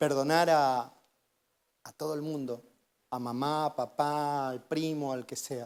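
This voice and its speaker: In a very clean recording with a silent background, a man speaks at a fairly high pitch with fairly even intonation. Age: 50s. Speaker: guest preacher. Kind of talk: sermon with personal testimony.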